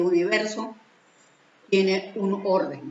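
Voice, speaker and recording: A woman speaks at a medium pitch. Audible room echo and noticeable background noise surround her voice. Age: 70s. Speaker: spiritual teacher. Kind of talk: religious teaching talk. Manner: halting.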